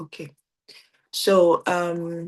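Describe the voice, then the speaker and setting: Her pitch sits fairly low. This woman's intonation is monotone and flat. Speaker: organization founder hosting team event. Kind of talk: virtual event hosting. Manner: loud.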